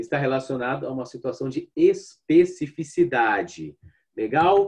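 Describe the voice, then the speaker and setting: Somewhat breathy, a man with a fairly high pitch talks at a fairly slow pace with lively intonation. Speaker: language teacher. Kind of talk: online lecture.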